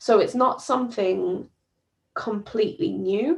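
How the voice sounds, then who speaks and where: A woman with a British accent speaks at a moderate pace in a fairly high pitch. Her pitch swings very widely, and vocal fry creeps in. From UK. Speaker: doctor. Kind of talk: presentation. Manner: halting, frequent fillers.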